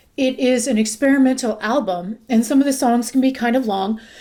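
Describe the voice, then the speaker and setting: Her dark, mellow tone sits at a fairly high pitch as this woman talks at a fairly quick pace. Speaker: music reviewer youtuber. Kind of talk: casual music review monologue. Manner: halting, stumbling over words.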